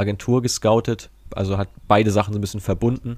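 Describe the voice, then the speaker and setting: A man speaks at a moderate pace. His fairly low voice stays flat and monotone. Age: 20s. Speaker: football data analyst and startup founder. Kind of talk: interview.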